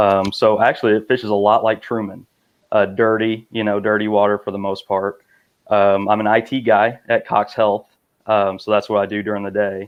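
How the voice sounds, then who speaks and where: This man has a Missouri Bootheel accent and a fairly low pitch. He speaks at a moderate pace in a flat monotone. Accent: Bootheel Missouri accent, noticeable. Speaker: kayak angler, IT worker. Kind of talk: casual chat.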